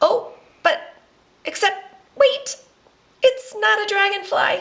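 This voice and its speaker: At a fairly slow pace, a woman performs a put-on character voice with an extremely high pitch. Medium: read story. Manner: bubbly, delighted exclamations.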